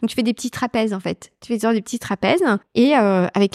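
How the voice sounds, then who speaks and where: A woman's unremarkable speaking voice, fairly high in pitch with ordinary pitch variation, dry and close with no echo, in a very clean recording against a silent background. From Brittany, France. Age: 40s. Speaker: company executive. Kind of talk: casual interview. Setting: shop.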